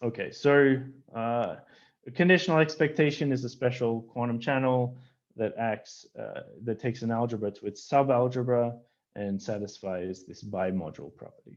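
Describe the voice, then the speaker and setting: Over a quiet background, a man speaks at medium pitch with ordinary pitch variation and big swings in loudness. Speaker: physics professor. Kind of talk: lecture. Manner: fast; halting, many fillers.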